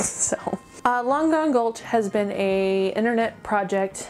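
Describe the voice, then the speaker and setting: Faint music sits in the background while a woman speaks in an upbeat tone at a fairly slow pace. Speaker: animation reviewer. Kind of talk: casual talk to camera. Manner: rambling, upbeat. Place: home room.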